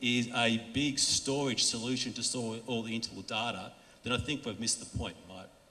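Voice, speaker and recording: Amid noticeable background noise and audible room echo, a man with an Australian accent talks at a moderate pace with ordinary pitch variation. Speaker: industry conference speaker. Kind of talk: conference talk. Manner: casual, with frequent fillers and restarts.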